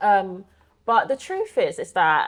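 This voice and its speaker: The recording is very clean against a silent background. A woman talks in a British accent. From Belgium, then UK from about age nine. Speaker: occupational therapist and public speaker. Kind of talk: casual interview chat.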